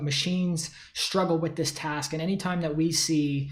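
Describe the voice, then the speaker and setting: Audible room echo surrounds a man whose fairly high voice keeps a fairly even intonation. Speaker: tech company founder. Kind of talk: solo talk to camera. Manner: fast; casual with many fillers.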